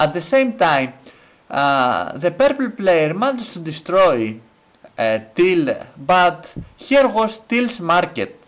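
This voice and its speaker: A man with a non-native accent speaks very slowly in a high voice, his pitch swinging very widely. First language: not English. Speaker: gaming commentator. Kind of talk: gameplay commentary. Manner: hesitant, many fillers.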